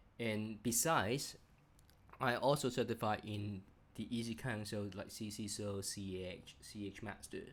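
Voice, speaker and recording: A man talks with a fairly low pitch, fairly even intonation, and a moderate pace. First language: not English. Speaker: cybersecurity executive and channel host. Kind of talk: channel intro monologue. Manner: halting, many fillers.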